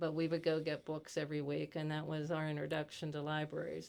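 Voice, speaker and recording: Speaking at a fairly quick pace, a woman with a very deep, low pitch and an American accent keeps a monotone, flat intonation. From US, Pittsburgh (Italian-born, emigrated as a young child). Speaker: retired educator and library activist. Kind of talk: podcast interview.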